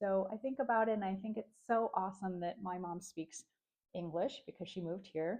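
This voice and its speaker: In a normal speaking voice, a woman talks at a fairly quick pace with medium pitch and ordinary pitch variation. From United States. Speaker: vlogger. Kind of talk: personal vlog monologue. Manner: casual, with frequent fillers and restarts.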